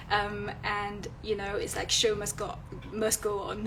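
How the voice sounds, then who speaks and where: A woman speaks at a medium pitch and a very slow pace in a monotone, flat intonation. Noticeable background noise and audible room echo surround her. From France. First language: French. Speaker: illustrator and content creator. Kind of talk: live stream talk. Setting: Instagram live. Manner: hesitant, many fillers.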